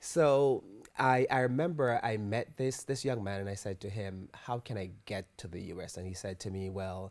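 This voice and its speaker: On a very clean recording with a silent background, a man with a strong Jamaican accent speaks at a moderate pace, fairly low in pitch with ordinary pitch variation. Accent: thick Jamaican. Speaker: author. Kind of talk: interview. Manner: halting.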